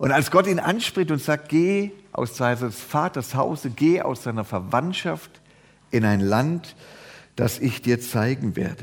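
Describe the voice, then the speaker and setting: Very slowly, a man speaks at a medium pitch with lively intonation. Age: old. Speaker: pastor. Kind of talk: sermon.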